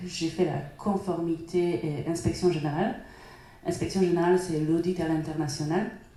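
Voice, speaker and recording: A woman with a Polish accent talks at a moderate pace in a fairly low pitch, her intonation fairly even, with noticeable background noise and audible room echo. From Poland. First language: Polish (speaking French). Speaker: data professional at a bank. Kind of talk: panel discussion.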